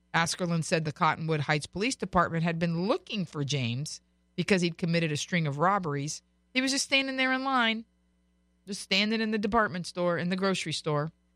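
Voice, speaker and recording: A woman with an American accent, fairly low-pitched, with lively intonation and a fairly quick pace, on a very clean recording with a silent background and a dry, close sound with no echo. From Florida. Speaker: radio host. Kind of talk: radio talk show.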